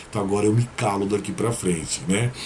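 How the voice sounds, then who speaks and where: A man talks at a moderate pace. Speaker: tarot reader and numerologist. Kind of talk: tarot reading video monologue. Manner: serious.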